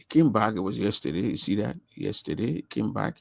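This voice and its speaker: A man talks at a moderate pace with vocal fry. The recording is very clean, with a silent background. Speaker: online talk show host. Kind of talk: livestream talk show monologue. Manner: halting, many repetitions.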